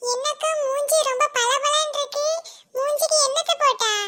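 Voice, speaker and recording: A woman performs a cartoonish character voice at an extremely high pitch. She talks at a fairly slow pace with fairly even intonation. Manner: chatty, dramatic, complaining.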